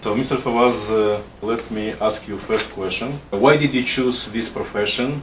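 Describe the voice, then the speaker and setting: A man with a non-native accent talks at a moderate pace with ordinary pitch variation. Audible room echo and noticeable background noise are present. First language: Russian. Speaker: immigration consultant, interviewer. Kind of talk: interview. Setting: office. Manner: partly reading from paper.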